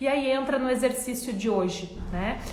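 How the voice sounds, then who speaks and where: Speaking at a fairly slow pace in an animated tone with lively intonation, a woman is heard over noticeable background noise and audible room echo. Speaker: self-help coach. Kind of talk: motivational talk.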